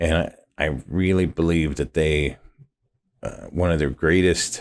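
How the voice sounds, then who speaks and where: Very deep and low in pitch with vocal fry, a man speaks at a moderate pace on a very clean recording with a silent background. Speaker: podcast host. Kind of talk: podcast monologue intro. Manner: hesitant, many fillers and restarts; mouth clicks.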